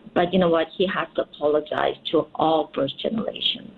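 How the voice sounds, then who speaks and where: A woman with a Korean accent. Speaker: politician. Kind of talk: radio interview.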